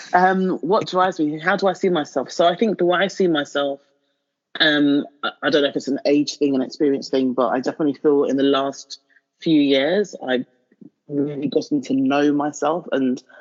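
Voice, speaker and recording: A woman speaks with a London accent at a moderate pace. Her pitch is very deep and low, with ordinary variation. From London, England. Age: 30s. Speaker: marketing professional and blogger. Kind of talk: interview conversation.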